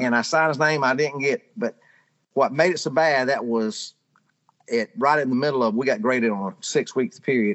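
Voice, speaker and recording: A man with a strong Southern US accent speaks at a medium pitch. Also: ordinary pitch variation. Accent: strong Southern drawl. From rural Georgia, US South. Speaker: storyteller, pharmaceutical sales rep. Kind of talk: casual storytelling.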